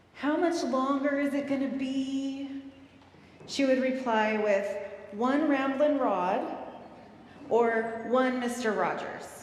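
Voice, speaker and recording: Noticeable background noise sits behind a woman with a high pitch. She speaks at a very slow pace with ordinary pitch variation. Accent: American. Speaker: guest preacher. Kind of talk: sermon delivered live in church.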